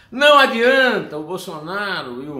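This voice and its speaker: A man speaks in a bright, sharp, animated tone with lively intonation. Audible room echo surrounds his voice. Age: 60s. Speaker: political commentator. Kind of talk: opinion commentary monologue.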